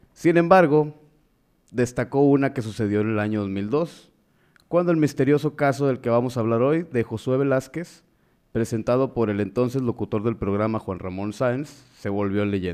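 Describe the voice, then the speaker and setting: A man with an ordinary speaking voice at medium pitch, ordinary pitch variation and a moderate pace, against a quiet background. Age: 20s. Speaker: podcast co-host and teacher. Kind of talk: casual chat. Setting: live stream.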